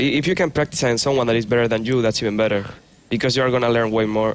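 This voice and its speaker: In a Spanish accent, a man speaks at a medium pitch with fairly even intonation. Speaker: pro gamer. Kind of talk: interview.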